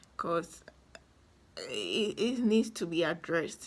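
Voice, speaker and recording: Her voice is somewhat breathy, with ordinary pitch variation. The woman speaks at a very slow pace. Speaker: fitness vlogger. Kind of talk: casual vlog monologue. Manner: hesitant, many fillers and restarts.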